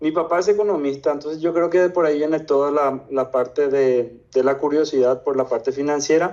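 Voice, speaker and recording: A man's fairly high-pitched voice with a dark, mellow tone, fairly quick and with hardly any pauses, very even in loudness and fairly even in intonation, over a quiet background. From Paraguay. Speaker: investor. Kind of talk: interview.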